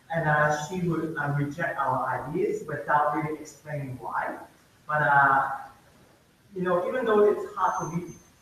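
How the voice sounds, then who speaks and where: There is noticeable background noise and audible room echo as a man talks at a fairly high pitch with ordinary pitch variation. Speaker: student election candidate. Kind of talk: candidate Q&A at election meeting. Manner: slow; hesitant.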